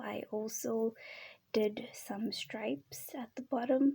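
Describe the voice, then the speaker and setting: A soft-spoken woman at a very slow pace. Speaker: video creator. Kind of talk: casual show-and-tell. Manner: calm.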